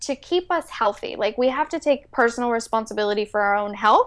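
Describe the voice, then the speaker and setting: Over a quiet background, a woman talks in a high pitch. Her pitch varies in an ordinary way. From Mexico City, raised in San Francisco Bay Area. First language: Spanish. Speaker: entrepreneur and business coach. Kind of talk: interview.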